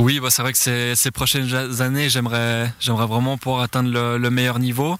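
This man's voice sits at a medium pitch, delivered in a monotone, flat intonation. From Switzerland, Valais (Chablais). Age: 20s. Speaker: BMX racer. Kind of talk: interview. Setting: at a training track. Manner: hesitant, many fillers and repetitions.

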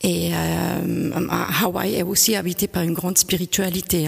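Through noticeable background noise, a woman talks at a fairly slow pace with a fairly low pitch. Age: 50s. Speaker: painter. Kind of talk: interview. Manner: halting, with repetitions.

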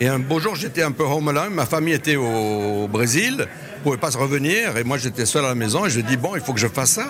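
Very fast speech with lively intonation and very even loudness, over noticeable background noise. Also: man, fairly high pitch for a man. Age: 60s. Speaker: retired luxury hotelier and author. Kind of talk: interview. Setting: at a lunch reception. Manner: voluble.

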